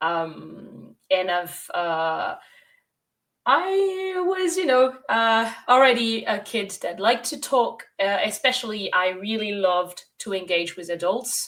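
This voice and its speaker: Speaking at a very slow pace, a woman with a French accent uses very wide pitch swings at a fairly high pitch. The recording is very clean, with a silent background. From France, Bordeaux. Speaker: sustainable tourism consultant and guide. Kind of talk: interview.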